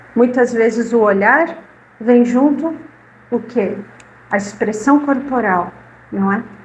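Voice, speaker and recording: With a Rio Grande do Sul accent, a woman with a warm tone and fairly high pitch speaks very slowly, with long, frequent pauses and ordinary pitch variation, over noticeable background noise. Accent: gaúcho (Rio Grande do Sul) Portuguese. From southern Brazil, Caxias do Sul, Rio Grande do Sul. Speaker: spiritist lecturer, retired literacy teacher. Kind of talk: talk to a live audience. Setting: spiritist centre with audience. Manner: warm, conversational.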